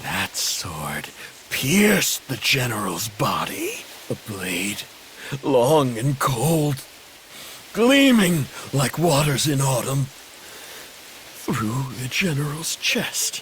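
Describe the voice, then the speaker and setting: Putting on a character voice, a man speaks at medium pitch and a very slow pace with lively intonation, over clear background noise. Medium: video game. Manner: harsh, intense.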